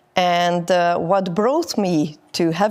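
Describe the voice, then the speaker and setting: A woman with a Hungarian accent, her pitch fairly low and its variation ordinary, in a very clean recording with a silent background. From Hungary. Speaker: network marketing distributor. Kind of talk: interview. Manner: halting.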